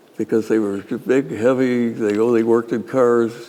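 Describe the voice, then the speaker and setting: Over noticeable background noise, a man speaks fairly slowly at a medium pitch. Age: 80s+. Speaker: inventor, engineer. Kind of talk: interview answer.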